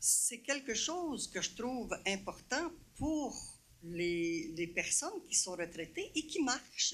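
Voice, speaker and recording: The pitch swings very widely. The tone is bright and sharp. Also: woman. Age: 70s. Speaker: citizen at council question period. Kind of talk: public question at council meeting.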